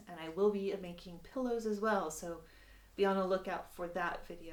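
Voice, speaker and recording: A woman with an American accent talks with fairly even intonation. Audible room echo surrounds her voice. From United States. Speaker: sewing instructor. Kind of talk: tutorial. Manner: casual, with many filler words.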